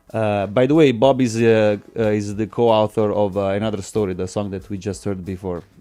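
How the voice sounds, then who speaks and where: A man with an Italian accent talks at a fairly quick pace in a fairly low, dark, mellow voice with fairly even intonation. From Italy. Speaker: musician. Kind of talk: radio interview. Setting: studio. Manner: halting.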